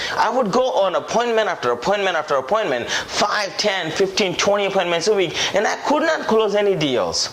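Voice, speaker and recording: Over noticeable background noise, a man with a high voice speaks in an animated tone with lively intonation. His pace is fairly quick, with hardly any pauses and very even loudness. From India. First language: Indian language (not English). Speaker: sales trainer and author. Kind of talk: sales pitch.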